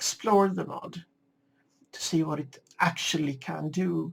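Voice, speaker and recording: A woman is speaking. She has a Swedish accent. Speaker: gaming video creator. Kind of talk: casual gameplay commentary. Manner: halting. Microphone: slightly poor sound settings.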